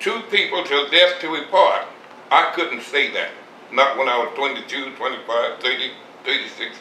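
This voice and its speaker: Noticeable background noise behind a male voice at a moderate pace. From Mississippi, Southern US. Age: 80s+. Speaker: farmer, war veteran. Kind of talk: interview answer. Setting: at home.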